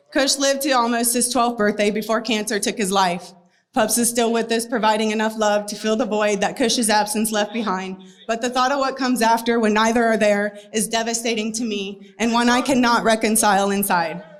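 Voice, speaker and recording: In a room with audible echo, a woman's shaky, fairly high voice moves at a fairly quick pace with fairly even intonation. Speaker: animal rescue advocate. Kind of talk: speech read from paper. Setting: stage before a crowd. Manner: shaky, emotional.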